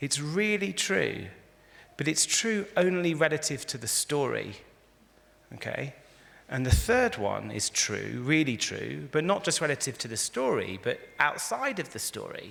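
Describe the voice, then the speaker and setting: Man with an English accent, at a fairly slow pace. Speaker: rabbi and philosopher giving a talk. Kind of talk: lecture. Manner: conversational, interactive.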